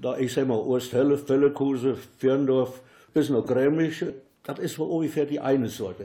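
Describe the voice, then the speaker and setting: With a Siegerland accent, a man speaks in a fairly high pitch and a dark, mellow tone. His pace is moderate and his intonation fairly even. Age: old. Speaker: local dialect enthusiast and workshop leader. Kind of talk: interview and reading aloud dialect poems.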